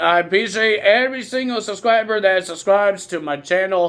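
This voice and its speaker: In a very clean recording with a silent background, a man speaks loudly at a moderate pace, his high-pitched voice showing ordinary pitch variation. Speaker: wrestling commentator YouTuber. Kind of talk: casual recap vlog.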